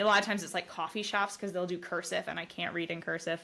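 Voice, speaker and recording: Bright and sharp in tone, a woman speaks with fairly even intonation. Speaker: brain injury survivor. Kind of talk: casual chat. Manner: stutters when talking fast.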